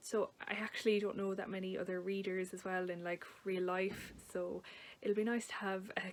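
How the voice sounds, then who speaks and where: A woman speaks with an Irish accent at a medium pitch and a moderate pace. Her intonation is monotone and flat. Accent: Irish, noticeable. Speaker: book vlogger. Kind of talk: casual talk to camera. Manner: hesitant, with fillers.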